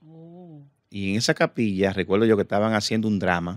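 Over a quiet background, a man talks at a fairly quick pace with a fairly low pitch. His pitch variation is ordinary and the sound is dry with no echo. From Dominican Republic. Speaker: comedian and impressionist; guest comedian. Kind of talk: casual chat. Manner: halting. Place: studio. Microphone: studio mic.

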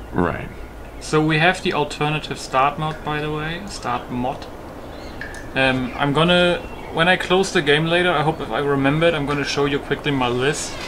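A German accent with fairly even intonation at a moderate pace, over noticeable background noise. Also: man, fairly high pitch for a man. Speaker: gaming YouTuber and modder. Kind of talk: gameplay commentary. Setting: home recording at PC. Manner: casual, profane.

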